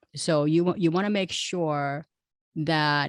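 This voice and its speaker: A woman with an unremarkable speaking voice, fairly low in pitch with ordinary variation, at a moderate pace against a quiet background. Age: 60s. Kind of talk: interview.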